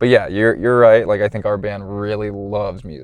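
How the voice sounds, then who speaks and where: In an American accent, a man with a fairly low pitch and a normal speaking voice talks at a fairly quick pace with ordinary pitch variation. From US South, Georgia (Loganville near Atlanta). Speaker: rock band drummer and drum teacher. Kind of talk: casual interview chat.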